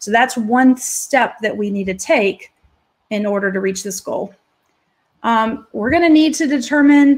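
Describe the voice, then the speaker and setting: Ordinary variation in pitch and a somewhat breathy quality. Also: woman. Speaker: legal practice management presenter. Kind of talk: webinar presentation. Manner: fast.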